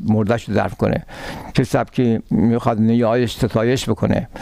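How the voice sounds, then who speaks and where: This man has a plain, everyday voice at a medium pitch. He speaks at a moderate pace. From Iran, Tehran. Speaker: retired law professor. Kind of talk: interview.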